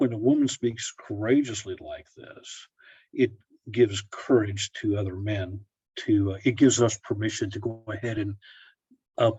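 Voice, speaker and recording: A somewhat breathy man's voice of medium pitch at a moderate pace, with fairly even intonation and big swings in loudness. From Oklahoma, Tulsa. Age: 60s. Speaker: pharmacist and Orthodox layman blogger. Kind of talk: casual interview chat.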